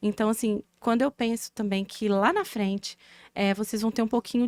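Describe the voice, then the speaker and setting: Speaking fairly slowly with a Minas Gerais accent, a woman uses a fairly high voice and fairly even intonation, captured in a very clean recording with a silent background and a dry, close sound with no echo. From Brazil, interior of Minas Gerais. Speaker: physiotherapy professor. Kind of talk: casual podcast chat. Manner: halting, many fillers.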